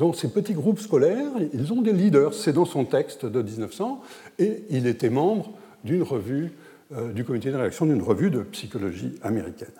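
Through very wide pitch swings, a man speaks at a moderate pace with a fairly high pitch. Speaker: historian speaking at an academic conference. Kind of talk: conference lecture. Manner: hesitant, many fillers.

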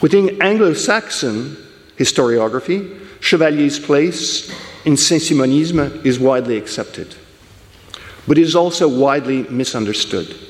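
With lively intonation and a fairly high pitch, a man talks at a moderate pace over noticeable background noise and audible room echo. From English-speaking country. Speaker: historian of political thought. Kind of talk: conference lecture.

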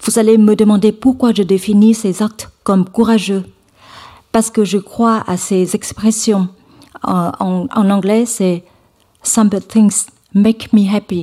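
Speaking very slowly with long, frequent pauses, a woman with a Vietnamese accent uses a fairly high, somewhat breathy voice with a dark, mellow tone and flat, monotone intonation. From central Vietnam, Hue. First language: Vietnamese (speaking French). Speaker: nonprofit foundation co-founder, conference speaker. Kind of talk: conference talk. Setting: lecture hall with audience. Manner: halting, many fillers and repetitions.

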